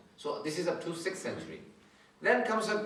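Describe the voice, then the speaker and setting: With audible room echo and noticeable background noise, a man talks at a fairly quick pace, his intonation lively. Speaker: Islamic scholar. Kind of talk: religious lecture. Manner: fast.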